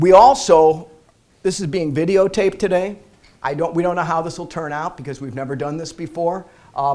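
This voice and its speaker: The delivery has a moderate pace and fairly even intonation. It is an unremarkable speaking voice. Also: man. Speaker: bankruptcy lawyer. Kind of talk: seminar presentation. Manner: casual, repeats words.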